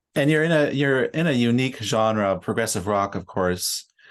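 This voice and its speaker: A man with a Canadian accent has an ordinary speaking voice and lively intonation. He keeps a moderate pace against a quiet background. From Canada, Ontario. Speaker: podcast host and musician. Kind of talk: interview.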